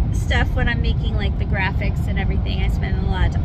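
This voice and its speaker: A woman speaks very fast in a dry sound with no echo, over loud background noise. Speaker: toy shop co-owner vlogger. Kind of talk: casual vlog chat. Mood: cheerful, chatty. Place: car. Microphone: phone near.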